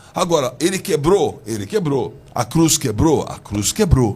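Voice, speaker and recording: A man speaks fairly slowly while noticeable background noise is heard. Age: 60s. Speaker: bishop. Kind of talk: heated debate.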